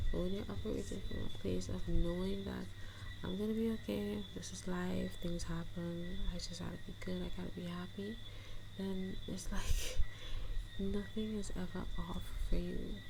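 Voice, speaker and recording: Someone soft-spoken talks in a gentle, relaxed tone amid noticeable background noise. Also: woman, moderate pace. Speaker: manifestation coach and content creator. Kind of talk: ASMR chit chat, casual talk to camera. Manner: soft-spoken, gentle, relaxed.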